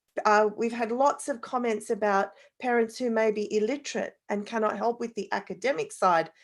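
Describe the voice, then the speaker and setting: A woman speaks at a moderate pace with an Australian accent. Her pitch is fairly high. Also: ordinary pitch variation. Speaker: parenting expert, panelist. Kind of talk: online panel discussion.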